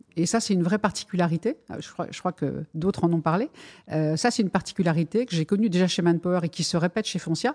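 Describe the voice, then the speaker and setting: A woman talking at a very fast pace, dry and close with no echo, over a quiet background. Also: fairly low pitch for a woman, ordinary pitch variation. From France. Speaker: purchasing director. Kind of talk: interview.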